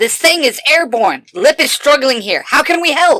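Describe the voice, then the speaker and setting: A woman's put-on character voice, high-pitched and full of very wide pitch swings. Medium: audio drama. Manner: dry, offhand.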